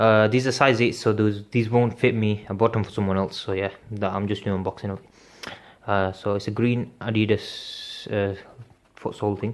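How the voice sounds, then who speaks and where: A fairly low male voice with monotone, flat intonation. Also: moderate pace. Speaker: sneaker unboxing youtuber. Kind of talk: product unboxing review. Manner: casual, hesitant with fillers.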